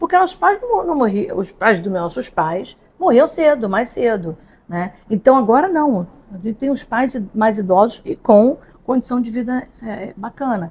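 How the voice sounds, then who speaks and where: A woman speaks at a fairly slow pace with a fairly high pitch and very wide pitch swings. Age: 60s. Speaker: podcast host. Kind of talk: casual chat. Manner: animated.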